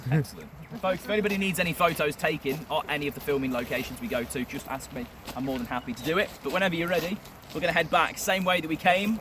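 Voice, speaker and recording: There is noticeable background noise as a man with a fairly high voice talks at a very fast pace. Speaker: tour guide. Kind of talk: guided tour talk.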